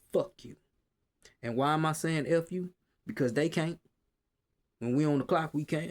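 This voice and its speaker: On a very clean recording with a silent background, a man with a strong Southern US accent speaks in an animated tone at a moderate pace and fairly high pitch, with ordinary pitch variation and long, frequent pauses. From US South. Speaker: retail worker and vlogger. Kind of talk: casual rant. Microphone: quiet, hard to hear.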